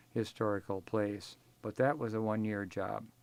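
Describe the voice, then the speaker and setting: A man's medium-pitched voice with an Upper Midwest accent, at a moderate pace. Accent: Upper Midwest American. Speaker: retired professor. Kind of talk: oral history interview. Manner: halting.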